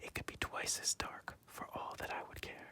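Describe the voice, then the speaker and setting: Whispering, the voice moves at a moderate pace. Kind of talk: bedtime fairy tale reading. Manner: whispered; soft, relaxing.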